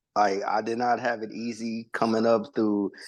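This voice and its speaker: Against a quiet background, a man talks at a moderate pace and medium pitch. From Watts, Los Angeles. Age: 40s. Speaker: formerly incarcerated person. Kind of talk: interview testimony. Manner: polite, respectful.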